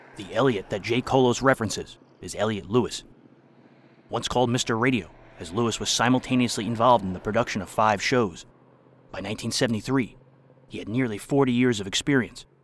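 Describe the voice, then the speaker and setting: Speaking at a fairly quick pace, a man with a medium pitch and an unremarkable speaking voice shows ordinary pitch variation and big swings in loudness. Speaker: podcast narrator. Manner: formal, measured, crisp announcer cadence.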